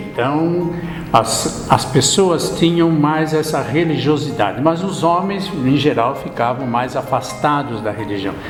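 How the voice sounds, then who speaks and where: Over background music and with audible room echo, a man speaks fairly slowly at a fairly high pitch, with ordinary pitch variation. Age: 70s. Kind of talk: interview.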